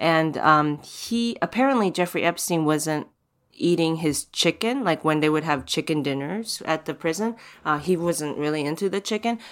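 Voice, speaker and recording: The speaker's intonation is lively and the pace is moderate. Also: woman, fairly low pitch for a woman. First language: not English. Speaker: podcast host. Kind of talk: casual interview chat. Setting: remote recording from home.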